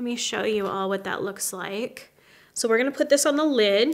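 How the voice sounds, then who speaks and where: Over a quiet background, a woman talks at a fairly quick pace with ordinary pitch variation. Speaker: makeup artist host. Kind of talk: tutorial. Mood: warm, friendly. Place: home room.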